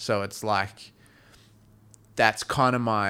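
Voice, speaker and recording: Recorded very cleanly over a silent background, a man with an Australian accent speaks in a bright, sharp tone at a fairly low pitch with ordinary pitch variation. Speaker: touring musician and podcast co-host. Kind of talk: casual chat. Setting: studio. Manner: halting.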